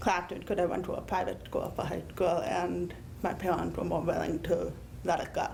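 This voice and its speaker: A woman with an American accent speaks at a fairly low pitch and a moderate pace, with vocal fry. Room echo is audible. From Connecticut. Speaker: deaf panelist and teacher. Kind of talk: panel talk, personal account.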